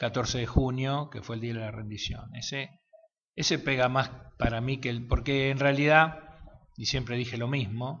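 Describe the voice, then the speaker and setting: Here a man speaks with an Argentine accent at a medium pitch. He goes at a fairly slow pace with ordinary pitch variation. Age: 50s. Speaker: war veteran. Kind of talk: interview answer.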